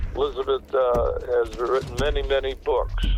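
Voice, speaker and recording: With noticeable background noise, a man speaks at a fairly slow pace. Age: 80s+. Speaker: former sheriff. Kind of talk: phone interview. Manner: halting with many fillers.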